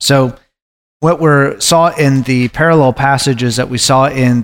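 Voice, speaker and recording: Medium-pitched male voice at a moderate pace, ordinary pitch variation, very clean recording with a silent background. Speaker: Bible study leader. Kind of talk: group Bible study discussion. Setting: recorded group study session. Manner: halting, many fillers.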